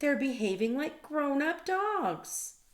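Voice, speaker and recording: A put-on character voice, high-pitched and at a fairly slow pace. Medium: read story.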